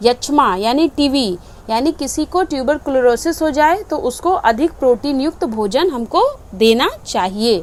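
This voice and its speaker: Over noticeable background noise, a woman speaks in a high voice that swings very widely in pitch. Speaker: home science teacher. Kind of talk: online lecture.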